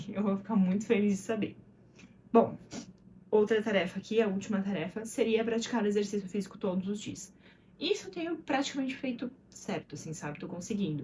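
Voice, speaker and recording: Speaking at a fairly quick pace, a woman with a medium-pitched, somewhat breathy voice and a dark, mellow tone shows ordinary pitch variation. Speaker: vlogger and mother. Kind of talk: casual vlog monologue. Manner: fast; words slurring together.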